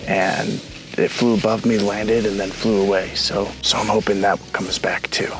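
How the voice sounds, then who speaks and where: Music sits in the background. A man with a fairly low pitch speaks in a monotone, flat delivery. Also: moderate pace. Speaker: wildlife photographer vlogger. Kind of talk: casual vlog narration. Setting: outdoors. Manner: quiet.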